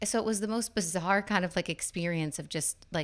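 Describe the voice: With fairly even intonation, a woman talks at a fairly quick pace.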